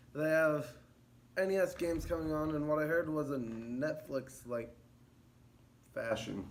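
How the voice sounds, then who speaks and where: Amid audible room echo, a man at a fairly high pitch speaks at a fairly slow pace with ordinary pitch variation and long, frequent pauses. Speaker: gaming video creator. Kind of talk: casual monologue.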